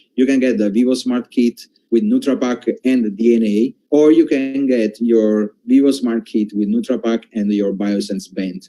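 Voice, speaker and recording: Recorded with a dry, close sound and no echo, a man uses a dark, mellow tone at medium pitch, with ordinary pitch variation, a moderate pace and hardly any pauses. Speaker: company executive. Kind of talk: corporate presentation. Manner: halting, many fillers and repetitions.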